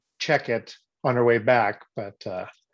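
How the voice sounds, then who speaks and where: Against a quiet background, a man with an unremarkable speaking voice talks at a medium pitch with fairly even intonation. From Missouri, US. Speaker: performer and director. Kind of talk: casual Q&A chat.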